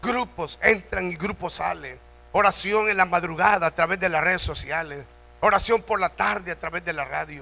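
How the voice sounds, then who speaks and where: A man's high-pitched voice with a bright, sharp tone and ordinary pitch variation. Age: 70s. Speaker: pastor. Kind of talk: sermon. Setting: church convention.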